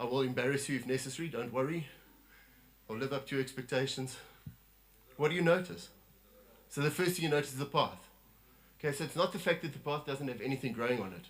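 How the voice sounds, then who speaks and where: Audible room echo surrounds a man at fairly high pitch who talks at a very fast pace with long, frequent pauses and ordinary pitch variation. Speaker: lay preacher. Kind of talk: sermon. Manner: animated.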